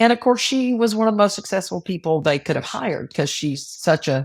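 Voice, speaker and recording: Here is an ordinary speaking voice with lively intonation. The recording is very clean, with a silent background. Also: woman. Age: 60s. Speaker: financial advisor, businesswoman. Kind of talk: interview conversation.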